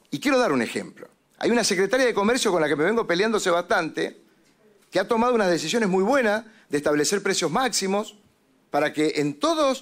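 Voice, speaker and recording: Over a quiet background, a man with an animated tone talks at a fairly quick pace, his pitch swinging very widely. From Mendoza, Argentina. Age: 50s. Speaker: legislator. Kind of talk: committee hearing speech. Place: meeting room. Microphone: podium.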